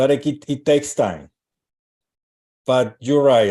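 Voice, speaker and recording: Dark, mellow tone from a man at a medium pitch. He keeps a moderate pace. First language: not English. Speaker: astrologer and relationship coach. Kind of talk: live stream interview. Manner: halting.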